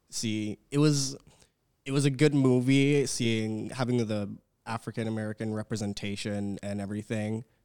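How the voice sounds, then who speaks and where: Speaking at a medium pitch with a Canadian accent, a man has an ordinary speaking voice, fairly even intonation and a moderate pace. The sound is dry and close with no echo, in a very clean recording with a silent background. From British Columbia, Canada. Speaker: university student. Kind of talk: casual chat. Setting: studio.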